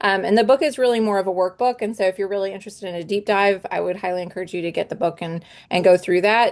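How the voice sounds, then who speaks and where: Very fast speech from a woman, medium in pitch, with ordinary pitch variation. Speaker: homeschooling mom and essential oils business presenter. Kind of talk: online presentation.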